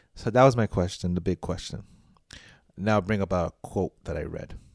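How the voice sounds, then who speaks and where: In a very clean recording with a silent background and a dry, close sound with no echo, a man with an American accent speaks at a moderate pace in a very deep, low voice with ordinary pitch variation. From New York City; Puerto Rican heritage. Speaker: podcast host. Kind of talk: casual chat.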